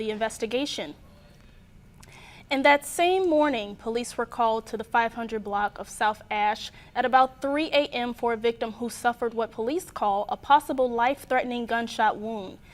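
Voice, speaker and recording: A woman has a normal speaking voice. Her fairly high pitch shows ordinary variation. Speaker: student news producer and anchor. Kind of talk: television newscast anchor read.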